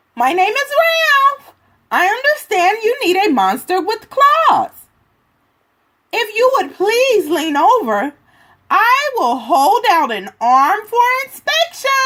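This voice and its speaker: A put-on character voice sits at an extremely high pitch with very wide pitch swings. Long, frequent pauses break it up. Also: fairly slow pace. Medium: read story.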